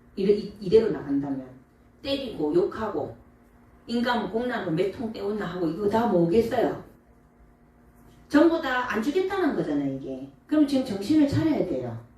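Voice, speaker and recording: Animated and fairly high-pitched, a woman speaks at a moderate pace with very wide pitch swings and long, frequent pauses, amid noticeable background noise and audible room echo. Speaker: Buddhist monk giving dharma talk. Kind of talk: dharma talk to audience.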